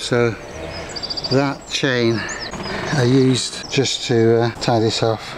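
A man's medium-pitched voice at a very slow pace, with little pitch movement and clear background noise

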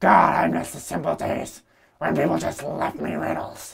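A raspy man with a very deep, low pitch. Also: moderate pace. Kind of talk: comic overacting. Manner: cocky, self-hyping, exasperated.

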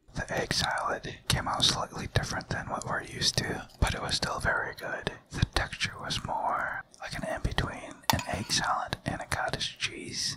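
Whispering at a moderate pace with hardly any pauses. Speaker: cooking channel host. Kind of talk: ASMR product review narration. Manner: whispered, soft-spoken. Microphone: studio mic.

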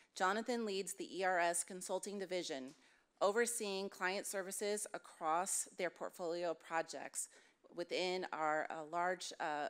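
A fairly slow pace with ordinary pitch variation. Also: woman. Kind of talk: formal presentation. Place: meeting room. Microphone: podium.

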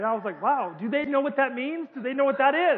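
Through noticeable background noise and audible room echo, a man with an extremely high pitch talks at a very fast pace with ordinary pitch variation. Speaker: preacher. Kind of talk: sermon.

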